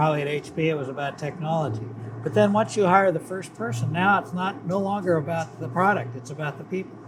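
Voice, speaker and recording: A man with an American accent talks at a very fast pace with a fairly high pitch and lively intonation. Noticeable background noise is present. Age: 70s. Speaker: retired business executive. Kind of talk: casual chat.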